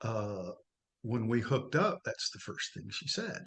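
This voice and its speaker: A man speaks with a somewhat breathy voice. His pace is moderate. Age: 60s. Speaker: coaching client. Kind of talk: testimony. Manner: halting.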